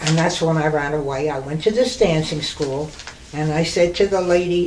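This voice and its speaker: Fairly slow speech in an American accent, with audible room echo. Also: woman. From New York City. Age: 90s. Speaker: retired burlesque dancer. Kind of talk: oral history reminiscence.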